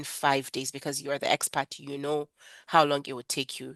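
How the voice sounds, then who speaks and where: A woman is heard against a quiet background. Her voice sounds dry and close, with no echo. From Nigeria. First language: not English. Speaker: freelancing trainer. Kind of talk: webinar lecture. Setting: online webinar. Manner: conversational, with fillers.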